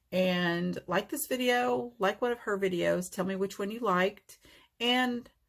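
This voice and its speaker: In a very clean recording with a silent background, a woman of medium pitch speaks in a plain, everyday voice. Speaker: nail art YouTuber. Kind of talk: tutorial and giveaway chat.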